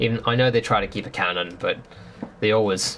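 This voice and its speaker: Over noticeable background noise, a man speaks at a moderate pace. His medium-pitched voice keeps a fairly even intonation. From northern England. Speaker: video game streamer. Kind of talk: casual chat. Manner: casual, hesitant with many fillers.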